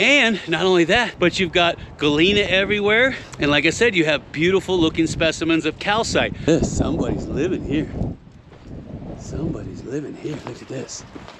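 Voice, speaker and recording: Amid noticeable background noise, a man speaks loudly at a high pitch and moderate pace in an animated tone. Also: ordinary pitch variation. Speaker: gold prospector and geologist. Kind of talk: outdoor exploration vlog. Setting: outdoors.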